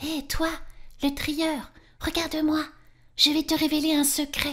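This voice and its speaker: Using a put-on character voice, a woman speaks at a high pitch and a fairly slow pace with monotone, flat intonation. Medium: read story.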